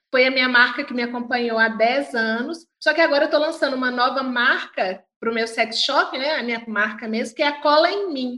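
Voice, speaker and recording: High-pitched woman's voice with a bright, sharp tone and ordinary pitch variation, fairly quick and with hardly any pauses. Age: 40s. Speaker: sex coach. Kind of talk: casual interview chat.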